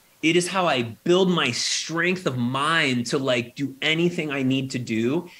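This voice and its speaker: The speaker has a plain, everyday voice with ordinary pitch variation. The recording is very clean, with a silent background. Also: man. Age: 40s. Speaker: chess company CEO. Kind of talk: interview.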